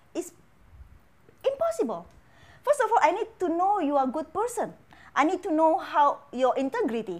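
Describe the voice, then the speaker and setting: At an extremely high pitch, a woman talks at a moderate pace with very wide pitch swings and long, frequent pauses. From Indonesia. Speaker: financial educator. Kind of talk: casual interview. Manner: halting, searching for words.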